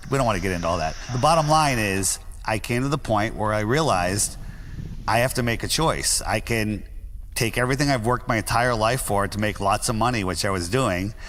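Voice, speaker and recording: Speaking fairly quickly, a man has an American accent. His pitch sits at a medium level with ordinary variation. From US Northeast, Greenwich, Connecticut. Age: 60s. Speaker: flat earth podcaster. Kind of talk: interview.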